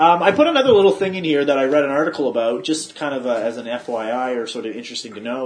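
A man with a mid-range pitch and lively intonation talks against noticeable background noise. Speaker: podcast host. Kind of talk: casual podcast chat.

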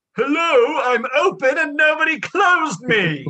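A man does a put-on character voice at an extremely high pitch, speaking at a moderate pace.

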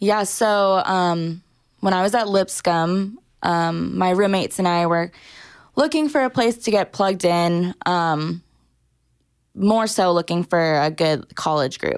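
Recorded very cleanly against a silent background, a woman with an American accent and an unremarkable speaking voice talks fairly slowly at medium pitch and very even loudness. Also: ordinary pitch variation. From Southern California, Orange County. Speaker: church graphic designer. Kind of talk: casual interview.

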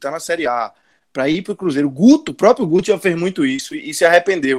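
At a fairly quick pace, a man talks with lively intonation and a high pitch. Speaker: podcast host. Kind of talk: casual sports talk.

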